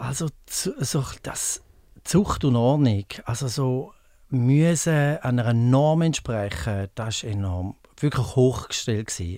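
A man with a dark, mellow tone speaks at a medium pitch with lively intonation. He talks very slowly on a very clean recording with a silent background. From Switzerland, Appenzell Ausserrhoden. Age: 50s. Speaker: pool attendant. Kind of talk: interview.

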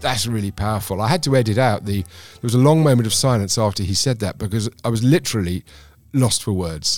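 Over music in the background, a man talks at a very fast pace with a fairly low pitch and ordinary pitch variation. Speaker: podcast host. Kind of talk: interview.

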